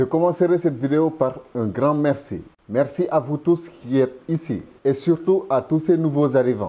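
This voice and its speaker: A man with a Senegalese accent has a fairly high pitch and a dark, mellow tone. He keeps a moderate pace with ordinary pitch variation. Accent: Senegalese, pure. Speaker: YouTube commentator. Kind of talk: casual video commentary.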